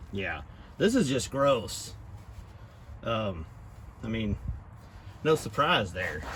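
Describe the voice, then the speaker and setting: A man with an American accent, fairly low in pitch, very slow with long, frequent pauses and very wide pitch swings, in a room with audible echo. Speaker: DIY vehicle restoration YouTuber. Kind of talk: casual narrated tutorial. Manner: casual, conversational.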